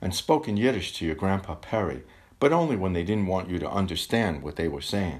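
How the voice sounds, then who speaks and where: A man talks at a fairly quick pace. His voice is very deep and low, with ordinary pitch variation. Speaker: poet reading own poem. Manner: measured, contemplative, gently wry.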